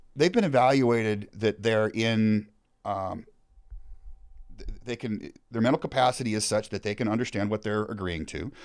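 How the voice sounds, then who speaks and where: The speaker has a plain, everyday voice with an American accent and ordinary pitch variation. The pace is moderate, and the recording is very clean with a silent background. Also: man, medium pitch for a man. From suburbs of Seattle, Washington. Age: 50s. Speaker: former firefighter. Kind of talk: casual interview conversation.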